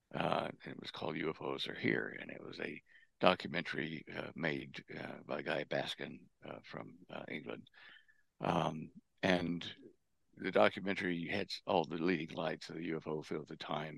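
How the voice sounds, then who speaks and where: With an American accent, a man speaks in a very deep, low voice with vocal fry, leaving long, frequent pauses. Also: ordinary pitch variation, moderate pace. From Texas. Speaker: propulsion engineer and researcher. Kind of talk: interview. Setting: remote call.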